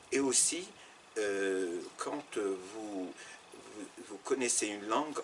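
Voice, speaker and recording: A man speaks over noticeable background noise. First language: Arabic and French (bilingual) (speaking French). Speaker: Arabic teacher and former interpreter. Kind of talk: interview. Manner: halting, many repetitions and fillers.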